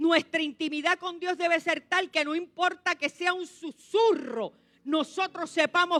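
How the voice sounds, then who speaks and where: A woman speaks in an animated, raised and projected voice, extremely high in pitch with a bright, sharp tone, at a fairly slow pace. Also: dry, close sound with no echo. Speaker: pastor. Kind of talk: sermon.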